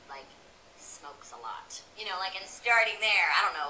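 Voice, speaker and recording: With noticeable background noise behind her, a woman at a medium pitch talks at a moderate pace. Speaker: comedian. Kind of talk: interview answer. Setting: live audience. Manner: upbeat.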